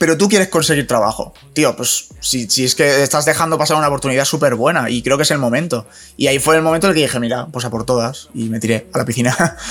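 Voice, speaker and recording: Music plays behind a man talking at a very fast pace with hardly any pauses. His pitch is fairly high, with ordinary variation. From Spain, Alcoy (Alicante). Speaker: digital marketing specialist. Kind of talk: casual chat.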